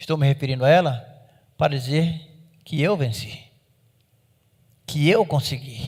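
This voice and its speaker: Somewhat breathy and at a moderate pace, the voice shows ordinary pitch variation in a very clean recording with a silent background. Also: man. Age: 60s. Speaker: pastor. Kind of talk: sermon.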